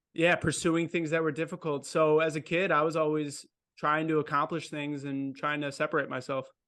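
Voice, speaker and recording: Over a quiet background, a man with an American accent talks at a fairly quick pace in a fairly high pitch, his bright, sharp tone held to a monotone, flat intonation. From Wisconsin, near Milwaukee. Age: 20s. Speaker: vet student and ultra runner. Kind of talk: casual interview chat.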